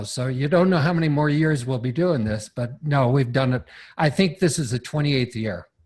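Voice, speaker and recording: At a fairly quick pace, a man with a fairly high, somewhat breathy voice speaks with lively intonation against a quiet background. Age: 60s. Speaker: seminar teacher on property leasing. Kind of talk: podcast interview.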